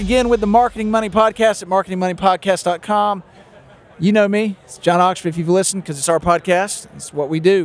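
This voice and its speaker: With a Southern US accent, the speaker races along at a very fast pace, intonation fairly even while loudness swings widely. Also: man, high pitch for a man. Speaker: podcast host. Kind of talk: casual interview chat. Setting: recorded on site at a conference.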